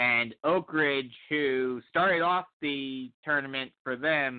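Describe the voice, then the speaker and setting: This man's voice has a fairly high pitch. It shows ordinary pitch variation. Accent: American. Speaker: sports broadcaster. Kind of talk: casual chat.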